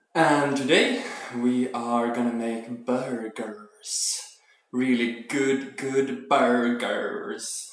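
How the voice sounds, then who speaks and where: Through noticeable background noise and audible room echo, a man speaks at a very slow pace. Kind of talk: casual cooking vlog chat. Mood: playful, joking. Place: kitchen. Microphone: phone near.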